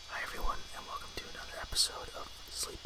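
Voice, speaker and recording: In a calm tone, a voice whispers over noticeable background noise. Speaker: ASMR podcast host and storyteller. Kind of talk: podcast host intro to camera. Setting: ASMR podcast recording. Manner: whispered, soft-spoken, calm.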